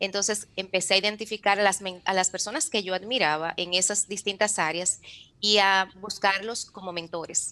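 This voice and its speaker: A woman speaks at a moderate pace and a medium pitch. Her tone is bright and sharp, her intonation fairly even. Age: 40s. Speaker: author and mentor. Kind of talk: interview testimony.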